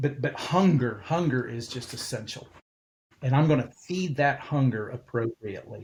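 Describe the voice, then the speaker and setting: A man talks at a fairly slow pace in a fairly high, somewhat breathy voice. His pitch varies in an ordinary way. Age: 60s. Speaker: pastor. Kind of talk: interview.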